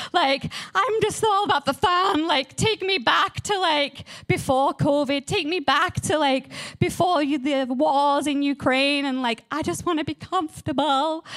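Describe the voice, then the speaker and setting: Speaking at a fairly slow pace in an English accent, a woman has a high pitch with ordinary pitch variation. Noticeable background noise can be heard. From England. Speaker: guest speaker at church. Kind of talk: sermon. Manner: casual, chatty.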